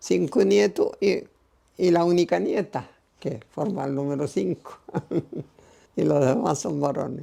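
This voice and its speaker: A woman with a very deep, low, dark and mellow voice and vocal fry speaks at a fairly slow pace, her pitch swinging very widely between long, frequent pauses. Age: 80s+. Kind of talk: interview answer.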